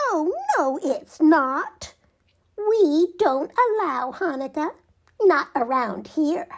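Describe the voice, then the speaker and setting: This is a put-on character voice that sounds squeaky. The delivery is very slow. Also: woman, extremely high pitch for a woman. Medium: read story.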